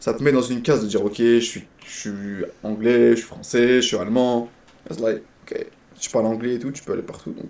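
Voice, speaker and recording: At a fairly quick pace, a man with a medium pitch and fairly even intonation speaks with long, frequent pauses. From Quebec. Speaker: streamer. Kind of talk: casual chat.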